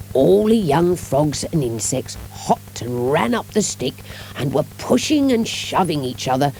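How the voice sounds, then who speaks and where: Noticeable background noise surrounds the speaker. A woman talks at a fairly slow pace. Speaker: audiobook narrator. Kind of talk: children's audiobook reading.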